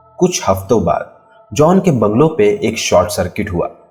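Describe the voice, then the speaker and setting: Music sounds in the background. Over it, a man talks. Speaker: narrator. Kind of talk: horror story narration.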